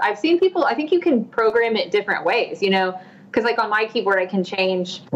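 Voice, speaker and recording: With fairly even intonation, a woman speaks at a moderate pace in an American accent. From Tulsa, Oklahoma; Oklahoma. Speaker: singer-songwriter; guest. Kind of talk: casual interview. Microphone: video call.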